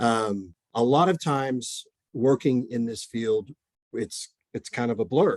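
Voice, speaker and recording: A man with an American accent speaks at a fairly slow pace and medium pitch. His pitch varies in an ordinary way, and the sound is dry and close with no echo. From Oklahoma. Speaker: mental health counselor. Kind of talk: presentation. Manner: many fillers and repetitions.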